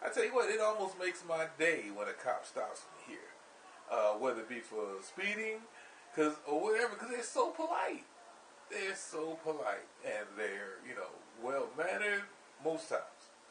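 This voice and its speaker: With audible room echo, a man speaks at a moderate pace in an American accent. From US Northeast (Camden, New Jersey). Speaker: pub owner and vlogger. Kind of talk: casual vlog monologue. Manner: halting, many fillers and restarts.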